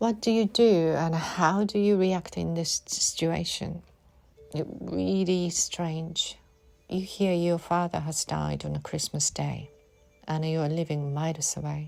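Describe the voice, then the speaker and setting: With music in the background, a woman speaks at a fairly slow pace. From Japan. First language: Japanese. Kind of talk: personal memoir reading.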